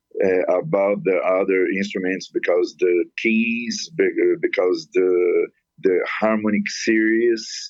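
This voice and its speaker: A man with a non-native accent talks at a very slow pace, his loudness very even throughout. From Brazil. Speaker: musician and composer. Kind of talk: interview. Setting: phone call. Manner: halting.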